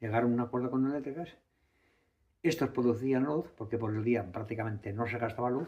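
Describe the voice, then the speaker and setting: At a fairly quick pace, a man speaks in a dark, mellow, somewhat breathy tone with ordinary pitch variation. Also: medium pitch for a man. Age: 70s. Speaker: mill owner. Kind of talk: interview. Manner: halting, repetitive.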